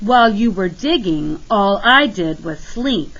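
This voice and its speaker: A woman performs in a put-on character voice. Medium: read story.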